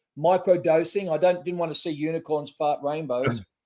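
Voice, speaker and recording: This man's voice carries a dark, mellow tone in an Australian accent. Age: 60s. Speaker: trauma recovery nonprofit founder. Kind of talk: podcast interview. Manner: halting.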